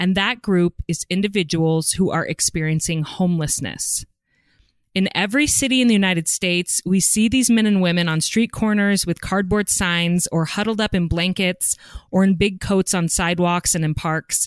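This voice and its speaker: A woman speaks in an unremarkable speaking voice at medium pitch and a moderate pace, with ordinary pitch variation and very even loudness. The background is quiet and the sound is dry and close, with no echo. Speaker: podcast host. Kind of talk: scripted intro and casual interview.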